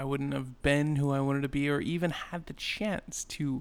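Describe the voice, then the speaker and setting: A man with a normal speaking voice, fairly high in pitch, fairly even in intonation, at a moderate pace. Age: 20s. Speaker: podcaster. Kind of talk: casual monologue. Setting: home apartment.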